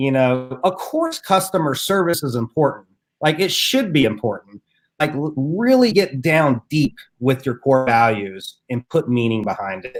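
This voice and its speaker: A man speaks with an Appalachian accent at a fairly high pitch. His intonation is lively. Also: moderate pace. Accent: Appalachian mountain twang. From US South, Southwest Virginia (Appalachia). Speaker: entrepreneur and podcaster. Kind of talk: interview. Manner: casual, conversational.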